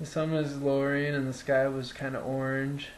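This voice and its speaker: Noticeable background noise and audible room echo surround the speech. A man speaks at a medium pitch and a fairly slow pace. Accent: Upper Midwest. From central Wisconsin, Wood County. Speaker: vlogger recounting personal experience. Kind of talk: casual first-person storytelling. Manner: halting, many fillers.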